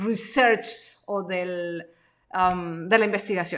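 Her voice, a woman's, has a bright, sharp tone. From Mexico. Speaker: podcast host and freelance coach. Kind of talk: live-streamed training session. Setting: home studio live stream.

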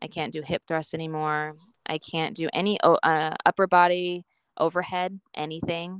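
In a Western US accent, a woman speaks at a moderate pace with a fairly low pitch and monotone, flat intonation, the sound dry and close with no echo. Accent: American (Western US). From Idaho, US. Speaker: stay-at-home mom, former personal trainer, patient. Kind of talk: interview about personal health journey.

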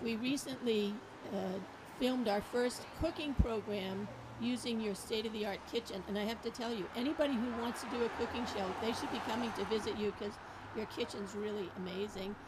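Noticeable background noise runs under a woman whose fairly high voice keeps a fairly even intonation. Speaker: librarian. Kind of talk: casual chat. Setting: outdoors.

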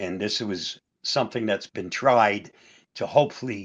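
This man has a plain, everyday voice, medium in pitch, with ordinary pitch variation. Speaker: co-host. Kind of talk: casual chat.

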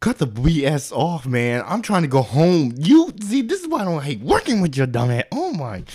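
With very wide pitch swings and an animated tone, a man speaks at a moderate pace in a fairly high pitch. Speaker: podcast co-host. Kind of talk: casual comedic banter. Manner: animated, joking.

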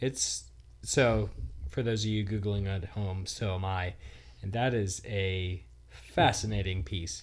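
A somewhat breathy man talks at a very slow pace with a fairly low pitch and lively intonation, with audible room echo. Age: 30s. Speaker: podcast co-host. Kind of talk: casual chat.

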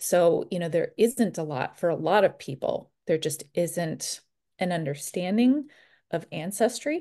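A woman in a normal speaking voice, fairly low in pitch and fairly slow, with lively intonation and a quiet background. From US Midwest. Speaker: podcast host and postpartum care educator. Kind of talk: casual chat.

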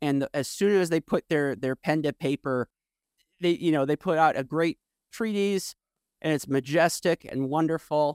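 Dry and close with no echo, a man's ordinary speaking voice sits at a fairly high pitch, moving at a moderate pace with lively intonation. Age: 30s. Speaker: podcast host. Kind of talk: interview.

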